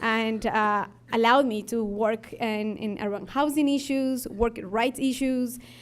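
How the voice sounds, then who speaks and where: With an Ecuadorian accent, a woman speaks at a fairly slow pace. The recording is very clean and the background silent. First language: Spanish. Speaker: labor organizer, nonprofit leader. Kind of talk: conference talk.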